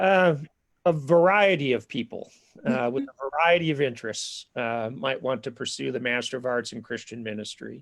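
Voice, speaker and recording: A speaker with a Minnesotan accent talks at a moderate pace. The recording is very clean, with a silent background. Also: man. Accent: Minnesota. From southern Minnesota. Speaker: seminary academic dean and ethics professor. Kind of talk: live-streamed info session interview. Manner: hesitant, many fillers.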